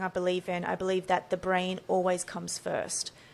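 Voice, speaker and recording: With an Australian accent, this woman talks at an even, moderate speed. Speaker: neurophysiologist and brain coach. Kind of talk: podcast interview.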